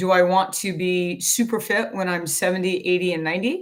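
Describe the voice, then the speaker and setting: A woman with a plain, everyday voice speaks at medium pitch and a moderate pace on a very clean recording with a silent background. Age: 60s. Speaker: fitness coach. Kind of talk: talking-head explainer.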